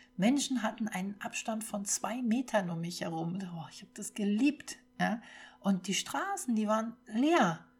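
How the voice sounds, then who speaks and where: A woman talks at a fairly slow pace in a somewhat breathy voice with lively intonation. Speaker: podcast host. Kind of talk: personal testimony monologue.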